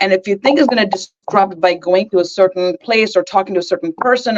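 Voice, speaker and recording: With music playing in the background, a woman speaks at a medium pitch with ordinary pitch variation. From India. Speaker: guest. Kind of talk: casual chat. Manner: loud laugh.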